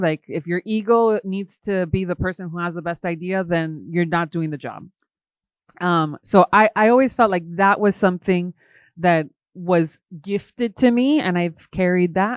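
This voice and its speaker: A woman talks in a normal speaking voice at a medium pitch. Her pace is moderate and her pitch variation ordinary. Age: 30s. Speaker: film director. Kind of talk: casual chat.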